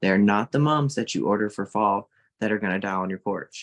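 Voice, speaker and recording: A man with a Southern US accent talks at a fairly quick pace in a fairly low voice with ordinary pitch variation. The sound is dry and close with no echo, over a quiet background. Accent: Southern US, mild. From Mississippi, US South. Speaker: social media creator and art teacher. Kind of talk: casual interview chat. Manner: animated.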